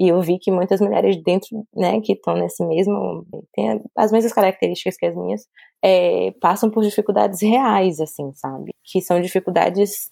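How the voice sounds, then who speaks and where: The recording sounds dry and close, free of any echo. A woman speaks at a moderate speed. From Brazil, Salvador, Bahia. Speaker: journalist and publicist. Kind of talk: casual interview chat.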